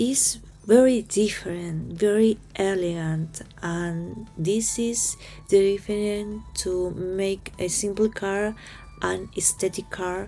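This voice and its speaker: A woman with a Spanish accent at a medium pitch, fairly even intonation and a very slow pace, with music in the background. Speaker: crafts youtuber. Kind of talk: tutorial. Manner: halting.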